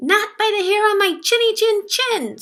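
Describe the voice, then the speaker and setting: This woman uses a put-on character voice with an extremely high pitch. Her pace is moderate. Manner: panicked.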